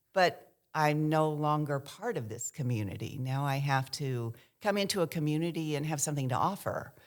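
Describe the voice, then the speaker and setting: In a very clean recording with a silent background, a woman speaks at a moderate pace with a very deep, low pitch and ordinary pitch variation. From US South, Kentucky. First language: American Sign Language. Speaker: sign language interpreter for theater. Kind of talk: interview, personal storytelling.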